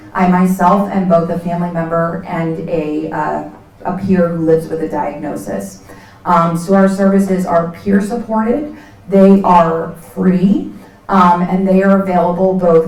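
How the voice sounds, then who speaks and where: Against noticeable background noise and audible room echo, a woman with a fairly low pitch speaks at a fairly slow pace with ordinary pitch variation. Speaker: nonprofit executive director. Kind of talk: presentation to community event audience.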